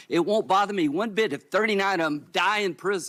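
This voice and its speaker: A man with a Southern US accent speaks in a bright, sharp tone on a very clean recording with a silent background. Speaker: senator. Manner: yelling, shouting.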